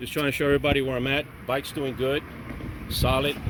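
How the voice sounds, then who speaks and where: There is noticeable background noise. A man with an American accent talks fairly quickly at a fairly high pitch. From Miami, Florida. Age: 60s. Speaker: vlogger. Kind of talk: casual vlog monologue. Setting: outdoors on a bike ride. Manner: halting.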